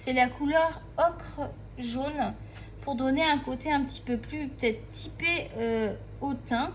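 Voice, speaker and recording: Speech comes at a very slow pace, with audible room echo and noticeable background noise. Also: woman. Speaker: art tutorial youtuber. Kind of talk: casual drawing tutorial chat.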